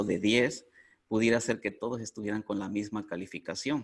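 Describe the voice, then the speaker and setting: With an ordinary speaking voice, a man talks at a medium pitch with fairly even intonation. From Mexico. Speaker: coffee cupping instructor. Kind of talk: interview.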